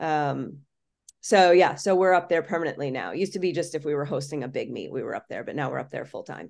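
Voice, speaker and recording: The speaker has an American accent and a very fast pace. Loudness swings widely against a quiet background. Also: woman, very deep, low pitch for a woman, ordinary pitch variation. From Florida. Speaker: college gymnastics head coach. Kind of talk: casual interview.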